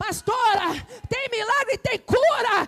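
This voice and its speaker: Shouting loudly in an animated tone, a woman with an extremely high pitch speaks at a fairly slow pace, the sound dry and close with no echo and music in the background. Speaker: pastor. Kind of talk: sermon. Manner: loud, shouting; animated, pacing while preaching.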